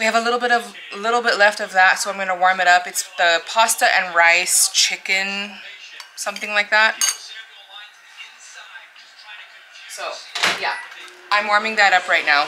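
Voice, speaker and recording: Amid noticeable background noise, a woman talks with fairly even intonation and long, frequent pauses. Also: moderate pace. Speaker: home cook vlogger. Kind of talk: casual vlog chat. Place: kitchen. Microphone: camera far.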